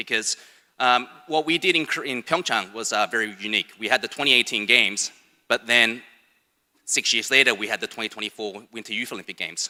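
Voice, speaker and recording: A man with a slight Australian accent speaks at a medium pitch and a fairly quick pace, in a bright, sharp tone. His pitch varies in an ordinary way, and the sound is dry and close with no echo. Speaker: sports foundation education head. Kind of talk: conference presentation. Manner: casual, hesitant with fillers.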